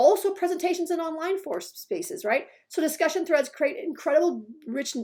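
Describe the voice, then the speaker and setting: At a fairly quick pace, a woman speaks in a dark, mellow tone. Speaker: instructional designer. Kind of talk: tutorial. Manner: fast; halting.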